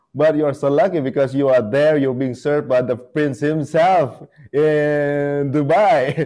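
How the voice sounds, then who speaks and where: A man's fairly high voice with a dark, mellow tone and an Indonesian accent, fairly even intonation and a fairly slow pace. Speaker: interviewer. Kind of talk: interview.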